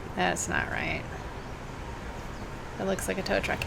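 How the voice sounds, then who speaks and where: A woman with an American accent, heard with audible room echo and noticeable background noise. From US Midwest (Cincinnati), Boston-born family. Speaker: knitting podcast host. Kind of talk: casual chat. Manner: hesitant, halting; rambling, digressive.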